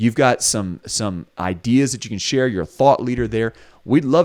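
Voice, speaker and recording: A man with a Southern US accent talks at a fairly quick pace with ordinary pitch variation. The sound is dry and close, with no echo. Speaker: podcast co-host, recruiter. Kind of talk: casual chat.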